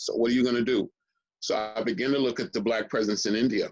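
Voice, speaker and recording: A man with an unremarkable speaking voice and a medium pitch talks at a fairly quick pace with fairly even intonation. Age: 60s. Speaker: historian. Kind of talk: interview conversation.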